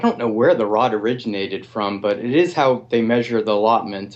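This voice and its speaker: Here a man speaks with an American accent. His pitch sits in the medium range. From US Northeast, Massachusetts. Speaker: gardener. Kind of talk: interview. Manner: halting, many fillers and repeats.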